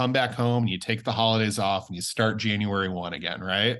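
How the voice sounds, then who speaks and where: A man with a medium-pitched voice and an American accent. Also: quiet background. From US Midwest, Kansas City. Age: 30s. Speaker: songwriter and music producer. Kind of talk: casual interview chat.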